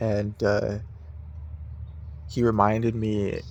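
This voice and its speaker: A man's fairly low voice at a very slow pace, with audible room echo. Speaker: vlogger. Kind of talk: casual monologue. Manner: halting, stuttering; filler-heavy.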